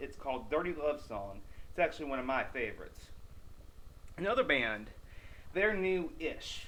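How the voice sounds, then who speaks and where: At a moderate pace and with long, frequent pauses, a man talks in a room with audible echo. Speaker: metal news video host. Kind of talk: casual video monologue. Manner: excited, energetic.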